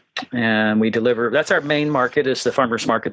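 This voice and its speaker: In an ordinary speaking voice, a man talks at medium pitch with fairly even intonation and a fairly quick pace. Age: 60s. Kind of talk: interview.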